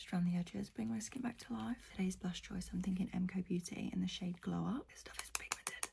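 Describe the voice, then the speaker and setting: A woman talks quietly in a British accent. She goes at a very fast pace with hardly any pauses. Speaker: beauty vlogger. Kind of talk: get ready with me makeup chat. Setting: at home early morning, others asleep next door. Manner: talking quietly.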